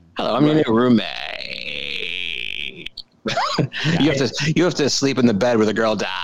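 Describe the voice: A man puts on a character voice. He speaks at a medium pitch. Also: fairly slow pace.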